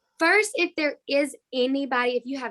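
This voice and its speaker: A woman speaks at a high pitch and a moderate pace, with ordinary pitch variation. The background is quiet. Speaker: pre-kindergarten teacher. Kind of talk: interview answer. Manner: enthusiastic, passionate.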